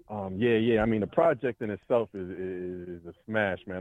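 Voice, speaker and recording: A man with a New York accent speaks at a moderate pace. His voice is fairly low, with fairly even intonation. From New York City, Brooklyn. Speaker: rapper. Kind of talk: casual chat.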